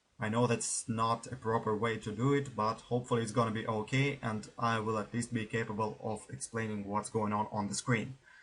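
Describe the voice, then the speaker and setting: With a non-native accent, the voice moves at a fairly quick pace with hardly any pauses and fairly even intonation. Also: man, medium pitch for a man. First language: not English. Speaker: gaming YouTuber. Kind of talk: let's play commentary. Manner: halting.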